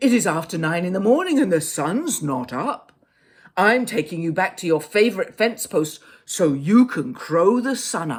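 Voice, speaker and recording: This put-on character voice sits at a middle pitch and moves at a moderate pace. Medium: read story.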